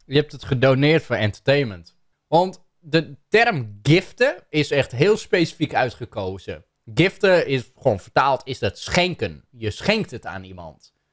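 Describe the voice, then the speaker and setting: Against a quiet background, a man speaks very slowly in a fairly high voice with vocal fry, very wide pitch swings and big swings in loudness. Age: 30s. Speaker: YouTuber reacting to a video; content creator. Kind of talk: commentary on a video. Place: home room. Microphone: studio mic.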